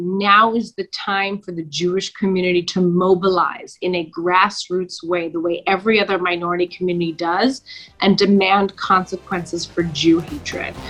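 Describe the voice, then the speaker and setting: With music in the background, a woman with a Canadian accent speaks at a moderate pace with a medium pitch, fairly even intonation and hardly any pauses. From Canada (Toronto). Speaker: lawyer and human rights activist. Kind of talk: podcast interview answer.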